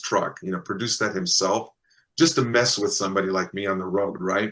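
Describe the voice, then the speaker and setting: Lively intonation marks this man's speech, delivered with an American accent. His tone is bright and sharp. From US Midwest. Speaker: contact experiencer. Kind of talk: interview storytelling.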